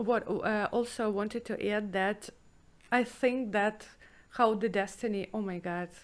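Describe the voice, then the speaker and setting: Talking at a fairly slow pace with a Russian accent, a woman has a fairly high pitch and fairly even intonation. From former Soviet Union. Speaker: 3D artist and podcast host. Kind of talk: casual chat. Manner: halting.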